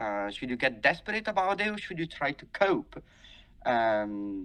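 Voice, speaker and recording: A man with an Italian accent, fairly high-pitched with a bright, sharp tone, very wide pitch swings and a moderate pace. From Italy. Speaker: vocal coach. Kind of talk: podcast interview.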